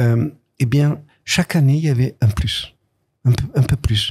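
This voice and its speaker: A man with a somewhat breathy, dark, mellow voice speaks at a fairly slow pace with ordinary pitch variation. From southern France, Nice. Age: 80s+. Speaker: comics author and artist. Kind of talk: interview. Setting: studio. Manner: halting.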